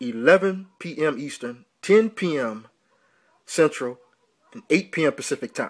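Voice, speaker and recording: Against a quiet background, a man with a fairly high pitch speaks with lively intonation. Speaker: radio show host. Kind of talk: pitchman promo for a debate show. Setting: online radio show promo. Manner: punchy, repeating 'man', with a boxing-style trash-talk swagger. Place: home room. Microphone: phone near.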